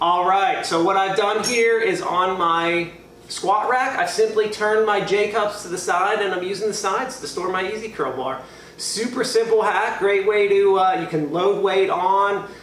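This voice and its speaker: The man talks at a fairly slow pace with a high pitch and ordinary pitch variation. Audible room echo and light background noise surround the voice. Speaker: home gym content creator. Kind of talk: casual tutorial. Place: garage. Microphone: camera far.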